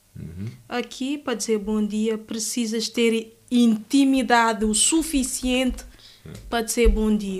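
Using a normal speaking voice, a woman with fairly high pitch talks at a fairly slow pace with fairly even intonation and big swings in loudness. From Guinea-Bissau, Bissau. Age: 20s. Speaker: law student. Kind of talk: interview.

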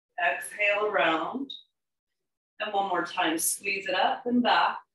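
A woman talks with ordinary pitch variation amid audible room echo. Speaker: yoga instructor. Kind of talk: guided exercise instruction. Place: home room. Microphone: camera far.

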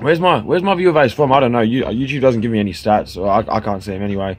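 A man talks at a very fast pace with an Australian accent. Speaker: vlogger. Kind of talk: casual monologue. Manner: relaxed, halting with fillers. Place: garden. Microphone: phone near.

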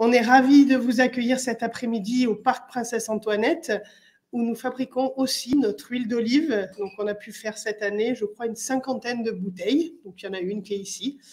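A woman with a French accent speaks at a fairly quick pace. Her loudness swings widely. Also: fairly high pitch for a woman, fairly even intonation. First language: French (speaking Italian). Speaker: municipal councillor. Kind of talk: welcome speech. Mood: warm, welcoming. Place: hall. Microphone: podium.

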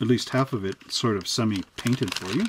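Clear background noise behind a male speaker, his pitch rising and falling a normal amount. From Canada. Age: 40s. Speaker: hobby shop owner and model kit reviewer; model kit reviewer. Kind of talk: product review.

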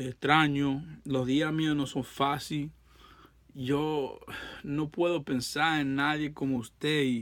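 A man talks at a fairly slow pace with a fairly high pitch and a flat monotone. Long, frequent pauses break up his speech against a quiet background. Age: 30s. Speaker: heartbroken ex-boyfriend vlogger. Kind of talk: emotional plea to an ex. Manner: halting. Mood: pleading, emotional, frustrated. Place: home room. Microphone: phone near.

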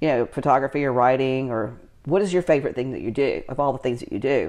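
A woman is speaking. The background is quiet. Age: 50s. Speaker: lifestyle entrepreneur and channel host. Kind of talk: casual chat. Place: home room. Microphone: camera far.

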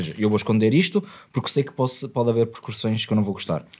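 A man speaks with ordinary pitch variation. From Gondomar, Portugal; Portugal. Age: 20s. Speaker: podcast host. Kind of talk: casual podcast conversation. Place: studio. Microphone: studio mic.

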